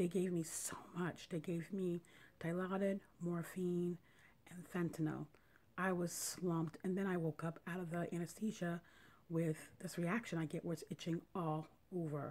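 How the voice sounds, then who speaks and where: Soft-spoken, a woman whispers. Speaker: vlogger sharing surgery recovery. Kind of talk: casual video diary. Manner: whispery, soft; halting, slow.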